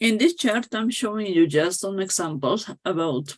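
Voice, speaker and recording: A woman speaks at a medium pitch and a fairly slow pace. Her pitch swings very widely. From Bolivia, La Paz. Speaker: teacher. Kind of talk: lecture.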